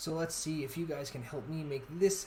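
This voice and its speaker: The room echo can be heard clearly. Within it, a man talks fairly quickly. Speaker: gaming YouTuber and streamer. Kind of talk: channel announcement to viewers; casual gaming commentary. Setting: live stream. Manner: stuttering, halting.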